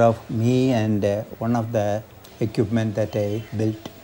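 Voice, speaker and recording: A man speaks over light background noise. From South India, Kerala. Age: old. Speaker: amateur radio operator, retired teacher. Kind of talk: documentary interview answer. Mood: gentle, reflective, slightly amused. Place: home room. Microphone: lapel.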